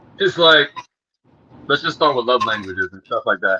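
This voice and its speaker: Loud and bright with a sharp tone, the voice comes through with a dry, close sound and no echo. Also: man. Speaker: guest, performer. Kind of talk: casual interview chat.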